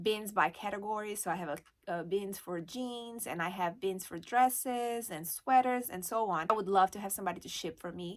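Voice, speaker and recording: A woman with a Brazilian Portuguese accent speaks at a moderate pace in a medium pitch, her pitch varying in an ordinary way while her loudness swings widely, on a very clean recording with a silent background. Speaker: online reseller and YouTuber. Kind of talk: casual vlog talk to camera. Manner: hesitant, with fillers.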